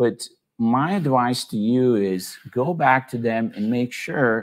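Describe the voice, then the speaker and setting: The background is quiet as a man speaks at medium pitch. His pitch variation is ordinary. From Serbia, moved to the US as a teen. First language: Serbian. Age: 40s. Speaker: startup consultant and speaker. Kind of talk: online presentation. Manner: casual, many fillers like uh and you know.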